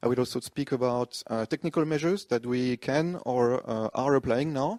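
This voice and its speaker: A man with a French accent speaks at medium pitch and a fairly quick pace with ordinary pitch variation. The sound is dry and close with no echo, in a very clean recording with a silent background. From France. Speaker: conference speaker, software developer. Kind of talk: conference talk. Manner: hesitant, many fillers.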